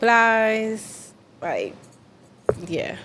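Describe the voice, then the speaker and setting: A woman is talking. She goes at a very slow pace. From DMV area (Maryland, DC). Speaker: independent R&B/hip hop artist. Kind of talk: interview. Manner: casual, slightly halting.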